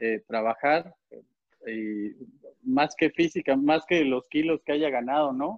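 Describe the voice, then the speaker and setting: The man's voice sits fairly high, with ordinary variation in pitch. He talks very slowly. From Puebla, Mexico. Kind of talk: casual chat.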